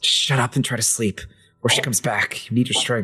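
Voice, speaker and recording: A man's quiet, raspy put-on character voice, medium in pitch, at a fairly quick pace. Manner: hushed, urgent, warning.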